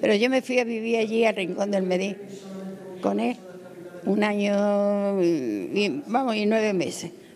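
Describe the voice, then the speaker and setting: A woman at medium pitch and a fairly slow pace, with ordinary pitch variation, very even loudness and long, frequent pauses, amid noticeable background noise. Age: 80s+. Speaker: elderly local resident. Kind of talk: street interview. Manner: halting.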